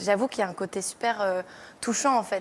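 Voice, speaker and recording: Speaking very fast, a woman with a fairly high voice keeps her intonation fairly even. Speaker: singer-songwriter. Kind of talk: TV interview. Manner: fast, poor articulation.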